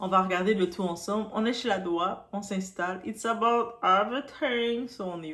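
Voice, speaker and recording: With a strong Quebec accent, a woman talks at a moderate pace with hardly any pauses over noticeable background noise. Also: medium pitch for a woman, ordinary pitch variation. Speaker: YouTuber, celebrity news commentator. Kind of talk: casual vlog commentary. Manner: animated; halting.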